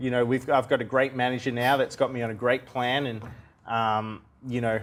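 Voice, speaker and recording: Monotone, flat intonation carries a man's medium-pitched voice at a fairly quick clip. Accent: Australian. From Australia (Melbourne). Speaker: professional boxer. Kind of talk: TV interview.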